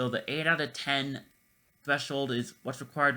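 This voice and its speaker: Over a very clean recording with a silent background, a man speaks in a bright, sharp, medium-pitched voice. His intonation is monotone and flat, at a moderate pace. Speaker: music list video creator. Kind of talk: unscripted music commentary. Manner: stammering, halting.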